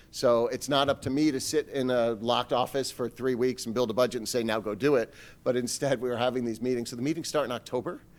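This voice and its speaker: Speaking at a very fast pace with hardly any pauses, a man keeps his intonation fairly even on a very clean recording with a silent background. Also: medium pitch for a man. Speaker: school superintendent. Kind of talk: budget presentation to parents.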